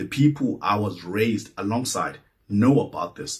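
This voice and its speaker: A somewhat breathy male voice at a moderate pace, with ordinary pitch variation. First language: Xhosa or Zulu. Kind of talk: personal reflective monologue. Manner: halting, with repetitions.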